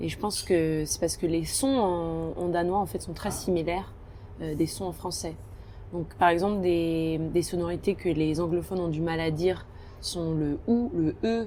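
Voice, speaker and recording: A woman talks at a fairly slow pace in a dark, mellow tone. Her pitch varies in an ordinary way. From France, Alsace. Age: 20s. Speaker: naturalist on expedition ship. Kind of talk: interview, casual chat. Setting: ship restaurant at sea. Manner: hesitant, many fillers.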